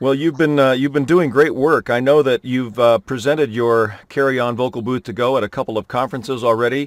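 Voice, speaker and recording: Here a man in an ordinary speaking voice goes at a fairly quick pace with hardly any pauses, medium pitch and fairly even intonation, the sound dry and close with no echo on a very clean recording with a silent background. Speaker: voice actor and news anchor. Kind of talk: interview questions as host, casual conversational.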